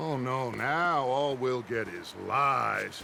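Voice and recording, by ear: Against faint background noise, a man does a put-on character voice at medium pitch, slow and lively, with vocal fry and a bright, sharp tone.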